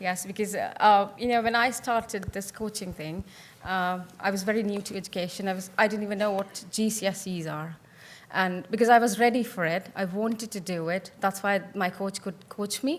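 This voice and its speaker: The speaker has a non-native accent and a moderate pace with fairly even intonation. Loudness swings widely throughout. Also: woman. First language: not English. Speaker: teacher and conference panelist. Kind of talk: panel discussion. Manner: hesitant, with fillers.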